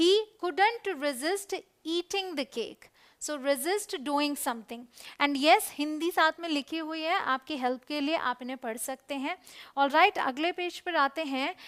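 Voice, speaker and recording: A woman projects a raised voice at a high pitch, her tone bright and sharp, in a dry, close sound with no echo. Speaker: English teacher. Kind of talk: educational lesson video, explanatory teaching talk.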